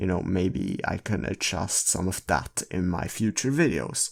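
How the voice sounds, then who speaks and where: A man speaks at a fairly slow pace with vocal fry, on a very clean recording with a silent background. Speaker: photo editing tutorial creator. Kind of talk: tutorial. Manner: halting.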